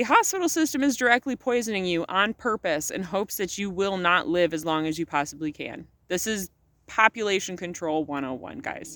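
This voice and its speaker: The voice is loud, animated, and bright with a sharp edge, moving at a fairly quick pace with lively intonation. The sound is dry and close, with no echo. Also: woman, medium pitch for a woman. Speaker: vlogger. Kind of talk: casual vlog monologue. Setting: outdoors at sunset.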